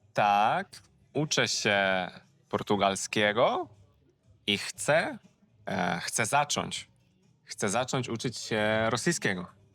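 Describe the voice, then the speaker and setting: Music plays in the background as a man speaks at a very slow pace with long, frequent pauses. His pitch is fairly low, with ordinary pitch variation. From southern Poland. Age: 20s. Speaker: language teacher. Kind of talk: casual conversation in simple Polish. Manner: slow, repeating phrases for learners.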